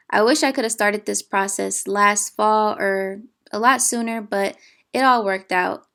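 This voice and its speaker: The background is silent in this very clean recording. An unremarkable speaking voice talks at a moderate pace with ordinary pitch variation. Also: woman. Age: 20s. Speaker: beginner gardener. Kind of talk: casual gardening vlog narration.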